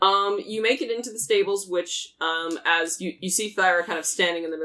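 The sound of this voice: Ordinary variation in pitch across an unforced reading voice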